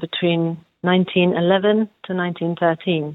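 Speaking in a London accent, a woman has a medium pitch. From London, England. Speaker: folk musician. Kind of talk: interview. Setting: phone call.

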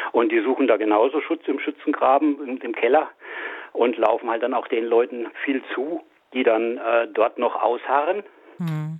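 Pausing often and at length, a man with a medium pitch talks at a moderate pace with ordinary pitch variation. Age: 60s. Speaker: mechanical engineer and animal welfare volunteer. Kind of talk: interview. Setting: phone call. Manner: halting.

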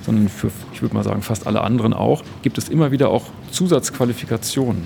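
A man at a medium pitch, very fast, with lively intonation, over noticeable background noise. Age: 50s. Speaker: company spokesperson. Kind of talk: interview. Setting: on-site at company open evening.

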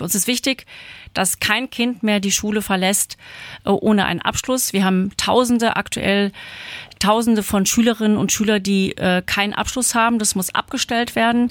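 In a very clean recording with a silent background, a woman with a plain, everyday voice talks at a moderate pace, her fairly high pitch held in fairly even intonation. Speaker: state parliament member and candidate. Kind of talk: panel interview.

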